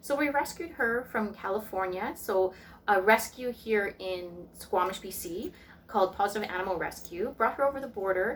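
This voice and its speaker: A woman at medium pitch with a Canadian Prairie accent, moderate pace, and noticeable background noise. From Canadian Prairies. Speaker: tarot reader and spiritual vlogger. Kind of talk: casual vlog talk. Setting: at home, sitting on the floor.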